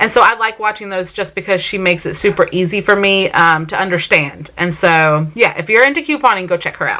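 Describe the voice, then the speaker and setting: Speaking at a moderate pace in a South Carolina accent, a woman has a bright, sharp tone, a medium pitch and ordinary pitch variation. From Vermont, US. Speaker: family vlogger. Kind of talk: casual Q&A vlog talk. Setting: sit-down home video.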